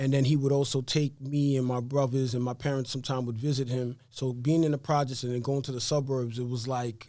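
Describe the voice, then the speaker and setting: A man's dark, mellow tone, fairly quick and monotone, flat, with a New York accent. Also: medium pitch for a man, hardly any pauses. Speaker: real estate investor. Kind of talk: interview. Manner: fast.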